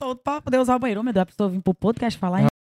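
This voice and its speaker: The recording is dry and close, with no echo. A woman talks with ordinary pitch variation. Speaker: singer. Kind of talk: casual chat.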